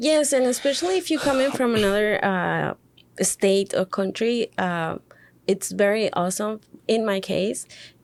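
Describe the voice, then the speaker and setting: The speaker has a Spanish accent, lively intonation and a moderate pace. Loudness stays very even on a very clean recording with a silent background. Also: woman, fairly high pitch for a woman. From Mexico City. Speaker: podcast co-host, hospitality worker. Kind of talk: casual podcast chat. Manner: halting, many fillers.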